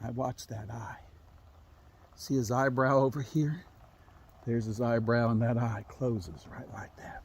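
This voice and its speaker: Speaking at a fairly slow pace with long, frequent pauses, a man uses a medium pitch with ordinary pitch variation and big swings in loudness. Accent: Appalachian. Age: 60s. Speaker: storyteller. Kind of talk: storytelling. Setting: outdoors.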